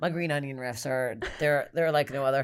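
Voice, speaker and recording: The recording is very clean and the background silent. A woman with a very deep, low pitch speaks with fairly even intonation. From Canada. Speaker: stand-up comedian. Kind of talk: casual chat.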